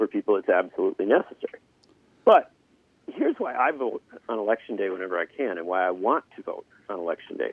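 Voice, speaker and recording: A man with an Upper Midwest accent speaks at a very fast pace. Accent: Upper Midwest American. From Wisconsin, Union Grove. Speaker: political journalist. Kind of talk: political discussion.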